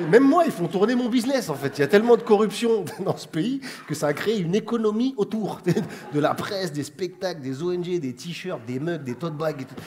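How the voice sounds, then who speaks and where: A man's high-pitched voice with very wide pitch swings and big swings in loudness, over noticeable background noise. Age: 30s. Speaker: comedian. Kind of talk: comedy chronicle to camera. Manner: casual, fast.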